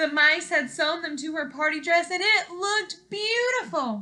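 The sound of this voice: A woman speaks at a fairly slow pace with a bright, sharp tone and ordinary pitch variation.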